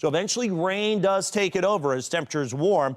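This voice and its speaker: A man talks with an ordinary speaking voice. His pace is fairly quick and his intonation lively. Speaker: TV meteorologist. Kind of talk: TV weather forecast.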